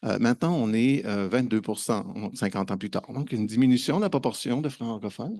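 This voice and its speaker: Against a quiet background, a man talks fairly quickly with hardly any pauses. His medium-pitched voice has a dark, mellow tone. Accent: slight Quebec. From Quebec. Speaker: conference speaker on open educational resources. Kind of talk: conference presentation. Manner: hesitant, many fillers and repetitions.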